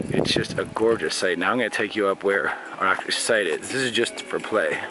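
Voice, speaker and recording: Over clear music in the background, a man speaks at a moderate pace. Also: dry sound with no echo. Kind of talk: casual vlog tour narration. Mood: cheerful, joking. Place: open country. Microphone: phone near.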